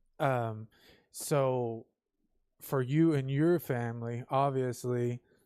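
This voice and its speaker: This man speaks very slowly with an American accent, at a medium pitch in a dark, mellow tone. His intonation is fairly even, with long, frequent pauses, and the sound is dry and close with no echo. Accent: American accent, audible. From United States. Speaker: channel host, commentator. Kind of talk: casual political commentary monologue. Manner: hesitant, many fillers (uh, um, you know).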